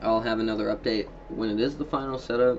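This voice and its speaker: A man with a medium pitch talks at a moderate pace amid noticeable background noise. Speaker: gaming and tech YouTuber. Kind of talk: casual tech show-and-tell. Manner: halting, many fillers; voice cracks.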